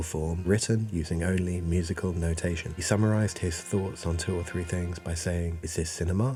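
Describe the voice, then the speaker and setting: Soft-spoken and very deep in pitch, a man talks at a fairly quick pace with fairly even intonation over noticeable background noise. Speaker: video essayist. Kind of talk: video essay narration.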